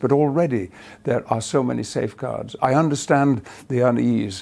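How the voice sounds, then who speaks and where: A man with an English accent, medium pitch, vocal fry, ordinary pitch variation and a moderate pace. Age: 70s. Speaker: actor. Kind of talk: interview answer.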